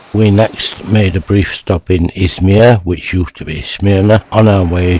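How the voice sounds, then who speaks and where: A man with a very deep, low voice talks at a fairly slow pace and with fairly even intonation. Noticeable background noise is audible behind him. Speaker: travel video narrator. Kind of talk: scripted narration. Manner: sped-up recorded sentences.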